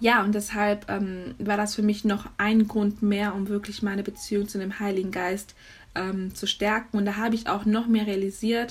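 A woman speaks in a medium pitch with monotone, flat intonation. Her voice is somewhat breathy, at a moderate pace. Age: young. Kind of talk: faith talk monologue. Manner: casual with many fillers.

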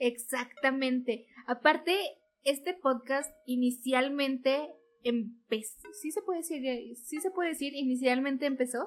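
A woman with a high pitch and ordinary pitch variation speaks at a fairly slow pace. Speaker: podcast co-host. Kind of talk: casual chat. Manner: animated.

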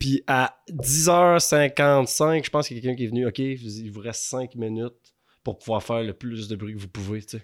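An ordinary speaking voice from a man at a medium pitch, with ordinary pitch variation, in a very clean recording with a silent background. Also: moderate pace. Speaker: larp player. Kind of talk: casual chat. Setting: at his home.

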